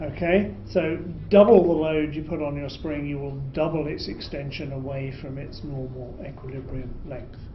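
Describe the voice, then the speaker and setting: With a British accent and a fairly high pitch, a man speaks at a moderate pace with ordinary pitch variation and big swings in loudness over noticeable background noise. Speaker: physics lecturer. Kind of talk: lecture. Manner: explanatory, uses filler words.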